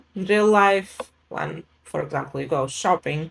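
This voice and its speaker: Her pitch is medium as a woman speaks with a non-native accent. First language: not English. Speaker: English teacher, program co-author. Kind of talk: interview. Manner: hesitant with fillers.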